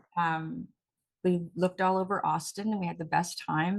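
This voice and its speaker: A woman speaks in an unremarkable speaking voice at a fairly low pitch. Her pace is moderate and her intonation fairly even. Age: 60s. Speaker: talk show host and actress. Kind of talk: casual chat.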